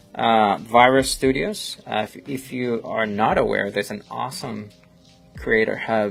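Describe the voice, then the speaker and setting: With music playing in the background, a man with a strong Colombian accent speaks at a moderate pace. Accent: thick Colombian Spanish. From Colombia, Bogotá. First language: Spanish. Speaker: photographer and live-streamer. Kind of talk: casual live-stream chat while editing. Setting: studio live stream. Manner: halting, many fillers. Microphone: new laptop.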